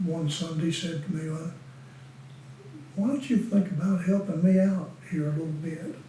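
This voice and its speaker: In a Southern US accent, a high-pitched man speaks with long, frequent pauses amid audible room echo and noticeable background noise. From Western North Carolina (Winston-Salem). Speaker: retired deacon. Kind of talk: oral history interview. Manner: halting.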